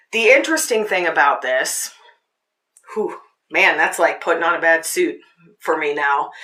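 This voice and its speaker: Pitched fairly low, a woman's voice keeps a moderate pace. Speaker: podcast host and meditation guide. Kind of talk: casual teaching talk; guided meditation. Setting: podcast recording.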